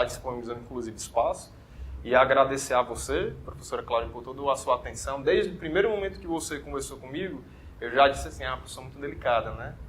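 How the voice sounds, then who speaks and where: The pace is very fast. A man's volume rises and falls in big swings. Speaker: orthodontist and dental teacher. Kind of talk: interview.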